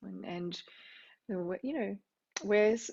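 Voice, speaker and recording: With an Australian accent, the words come at a moderate pace. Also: woman. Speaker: music therapy professor. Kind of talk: lecture. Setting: recorded teaching video.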